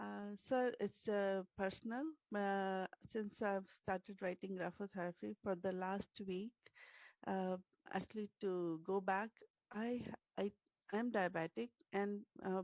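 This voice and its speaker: Soft-spoken and medium-pitched, a woman talks at a fairly slow pace with long, frequent pauses and fairly even intonation, in a dry, close sound with no echo. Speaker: workshop participant. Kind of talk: testimony.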